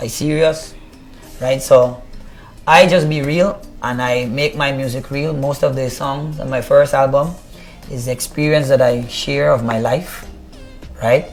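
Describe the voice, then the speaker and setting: Music plays behind a man with a Guyanese accent and a fairly high pitch. He speaks with fairly even intonation and long, frequent pauses. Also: fairly slow pace. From Guyana, Buxton. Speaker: reggae artist. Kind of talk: interview.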